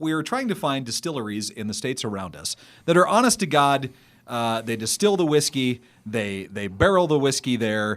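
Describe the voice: Using very wide pitch swings, a man with an American accent speaks at a moderate pace in a medium pitch.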